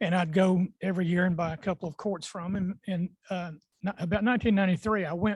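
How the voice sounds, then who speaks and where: A man talks fairly quickly with an Appalachian accent and a high pitch. His intonation is fairly even, and the sound is dry and close with no echo. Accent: Southern US (Appalachian North Carolina). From Western North Carolina mountains. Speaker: beekeeper, panel expert. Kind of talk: panel talk at club meeting. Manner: halting, many fillers.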